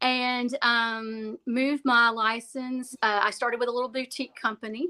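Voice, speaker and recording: A woman with a Southern US accent, bright and sharp in tone, fairly even in intonation, in a dry, close sound with no echo and a very clean recording over a silent background. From Alabama. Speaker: real estate agent. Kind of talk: interview.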